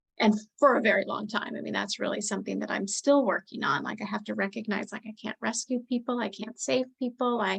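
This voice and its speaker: Using vocal fry, a woman talks at a fairly quick pace with hardly any pauses, a fairly high pitch and fairly even intonation. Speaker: life coach. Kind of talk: interview.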